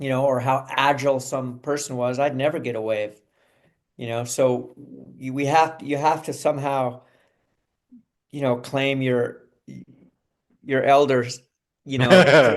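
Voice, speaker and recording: Speaking at a fairly slow pace with long, frequent pauses, a man with an American accent keeps a medium pitch and monotone, flat intonation. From Southern California. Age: 60s. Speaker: actor. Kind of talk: interview. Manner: casual, conversational.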